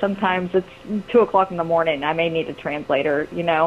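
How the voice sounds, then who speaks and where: Noticeable background noise runs under this recording. A woman speaks at a fairly quick pace. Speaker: volunteer missing-persons searcher. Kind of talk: radio interview. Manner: fast; hesitant, many fillers.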